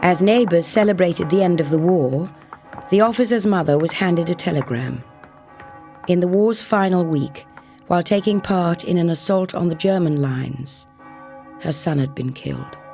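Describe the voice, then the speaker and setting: A woman's fairly low voice at a moderate pace, solemn in tone, with ordinary pitch variation, long and frequent pauses, and music in the background. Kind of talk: documentary narration. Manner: reflective, solemn.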